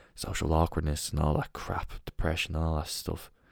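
On a very clean recording with a silent background, a man speaks with a very deep, low voice. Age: 20s. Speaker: podcast host. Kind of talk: solo casual monologue. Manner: rambling with frequent fillers and restarts.

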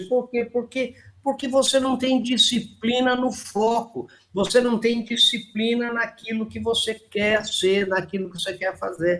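A man with an extremely high-pitched voice talks at a very slow pace, his intonation fairly even. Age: 70s. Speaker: anthropologist, writer and speaker. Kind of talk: interview.

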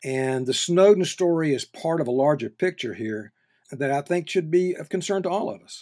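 On a very clean recording with a silent background, a man speaks in a Southern US accent at a moderate pace. His tone is dark and mellow, and his intonation is lively. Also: fairly high pitch for a man. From North Carolina. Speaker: journalism professor. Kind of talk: interview. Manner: halting.

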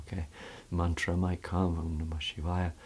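The voice is somewhat breathy and moves at a moderate pace. Its intonation stays monotone and flat. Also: man. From Canada, West Vancouver. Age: 40s. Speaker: yoga teacher. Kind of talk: casual interview conversation. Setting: studio.

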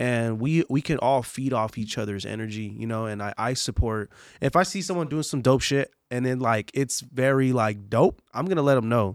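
In a very clean recording with a silent background, a man with an American accent has an unremarkable speaking voice at a medium pitch. He talks at a moderate pace with hardly any pauses and ordinary pitch variation. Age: 20s. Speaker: podcast host. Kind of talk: casual interview chat.

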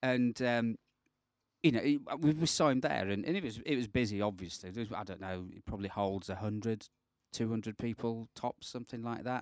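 A man with a British accent speaks fairly quickly in an animated tone, at medium pitch with ordinary pitch variation. The sound is dry and close with no echo, and the recording is very clean with a silent background. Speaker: podcast co-host, guitarist. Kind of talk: casual chat. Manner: jokey, animated.

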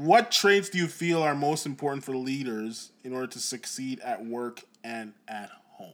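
A man's plain, everyday voice, with lively intonation, big swings in loudness and a moderate pace. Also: medium pitch for a man. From Jamaica (Trelawny), moved to Canada at ten. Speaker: podcast co-host. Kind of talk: casual chat.

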